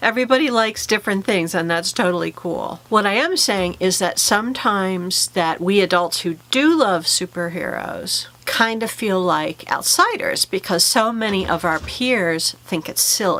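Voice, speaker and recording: A woman speaks at a moderate pace and medium pitch with ordinary pitch variation and hardly any pauses. Noticeable background noise is present. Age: middle-aged. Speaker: YouTuber talking about fandom and mental health. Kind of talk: vlog monologue.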